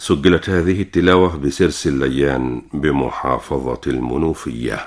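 A man speaks very slowly with a very deep, low pitch and vocal fry. His pitch varies in an ordinary way against a quiet background. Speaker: radio presenter. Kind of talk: radio program introduction. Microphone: old recording.

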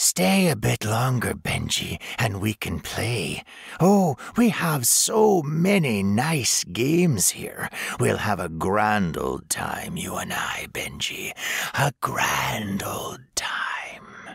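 A man puts on a menacing, sing-song character voice that is raspy, at a medium pitch. He speaks at a very slow pace, with very wide pitch swings. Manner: mocking, singsong, menacing.

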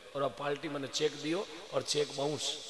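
Audible room echo on a man speaking. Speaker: religious storyteller. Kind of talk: sermon. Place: stage. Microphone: handheld.

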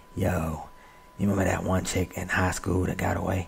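Using a put-on character voice, a man rasps at a very deep, low pitch in a flat monotone, moving at a fairly quick pace over light background noise. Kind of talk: casual.

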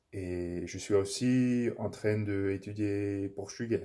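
A man with an English accent speaks in a fairly low pitch. His tone is dark and mellow, and the background is quiet. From English-speaking Canada. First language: English (speaking French). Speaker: language learner vlogger. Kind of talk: casual monologue, language practice. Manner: halting, many fillers and self-corrections. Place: home room. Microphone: phone near.

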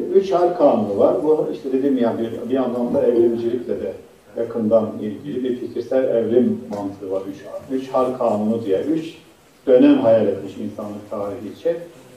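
With lively intonation, a man speaks at a medium pitch and a moderate pace against noticeable background noise. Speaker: professor, Middle East researcher. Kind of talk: conference lecture. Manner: halting, many fillers.

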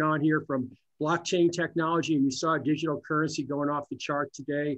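Against a quiet background, a man talks at a moderate pace. His pitch is fairly high and his intonation monotone and flat. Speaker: economic development executive; webinar panelist. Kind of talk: panel discussion. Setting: phone call. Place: office. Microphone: video call.

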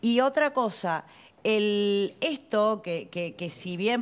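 A woman is speaking. Her intonation is lively. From Argentina. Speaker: lawyer, former tax agency official; lawyer. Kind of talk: TV panel discussion. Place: studio. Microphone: lapel.

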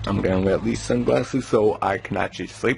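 The speech moves at a medium speed, with a little noise behind it. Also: man. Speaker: travel vlogger. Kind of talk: casual vlog chat. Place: home room. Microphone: phone near.

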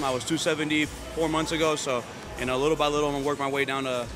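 Clear music plays in the background as a man talks very fast in a flat, monotone way. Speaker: interviewee. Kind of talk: interview answer. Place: gym. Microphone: handheld.

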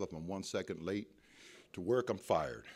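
A man's fairly low-pitched, ordinary speaking voice at a fairly quick pace, in a very clean recording with a silent background. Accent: American. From Ohio, US Midwest. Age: 50s. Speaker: recovery speaker. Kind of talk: testimony. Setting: stage with audience.

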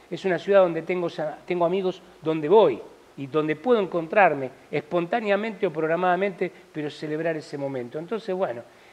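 Pitch shifts in an ordinary way. The delivery is fairly quick. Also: man. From Argentina. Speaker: stage actor. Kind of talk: interview. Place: studio. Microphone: lapel.

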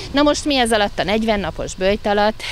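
A fairly slow voice with music in the background and a dry sound with no echo. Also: woman. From Hungary. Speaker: kindergarten head or educator. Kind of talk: news interview statement. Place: street. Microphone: handheld.

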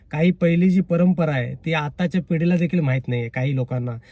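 A man's high-pitched voice, dark and mellow in tone, in a dry, close sound with no echo. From Konkan, Ratnagiri district (Sangameshwar). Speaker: YouTube vlogger. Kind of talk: casual vlog monologue. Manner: halting, with repetitions and restarts.

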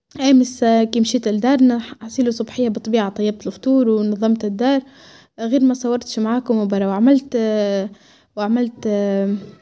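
A woman with a Tunisian accent speaks at a fairly slow pace and fairly high pitch, in a dark, mellow tone with monotone, flat intonation. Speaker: lifestyle vlogger. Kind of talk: casual home vlog narration. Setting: at home.

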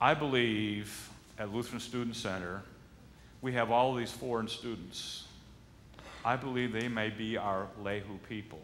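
A man at a fairly slow pace, long, frequent pauses, and light background noise behind him. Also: fairly even intonation. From Michigan, US Midwest. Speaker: pastor. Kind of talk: sermon. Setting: church. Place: church.

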